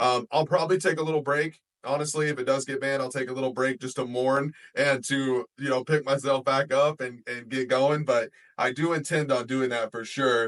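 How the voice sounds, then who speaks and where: A man with a normal speaking voice talks at a medium pitch. He keeps a fairly quick pace and fairly even intonation. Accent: American. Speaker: podcast host and content creator. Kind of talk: casual chat.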